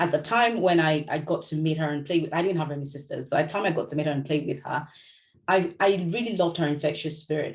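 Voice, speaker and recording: With a Yoruba accent, a woman speaks in a very deep, low pitch and fairly even intonation. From Nigeria, Lagos. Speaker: novelist. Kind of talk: book club talk. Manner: conversational, with hesitations.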